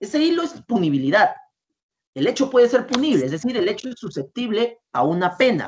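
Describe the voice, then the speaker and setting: Using an extremely high pitch, a man talks at a fairly quick pace with very wide pitch swings. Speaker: law lecturer. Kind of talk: lecture. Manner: variable pace, sometimes fast.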